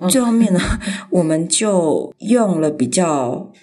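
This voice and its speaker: Audible room echo surrounds a woman whose fairly low voice swings very widely in pitch. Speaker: graphic designer. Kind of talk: casual interview.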